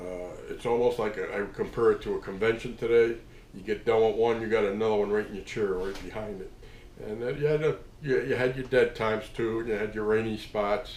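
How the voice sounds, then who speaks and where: Talking at a fairly quick pace, a man with a medium pitch keeps fairly even intonation while his loudness swings widely. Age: 60s. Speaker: tattoo artist. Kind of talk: casual storytelling monologue. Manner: halting, many fillers.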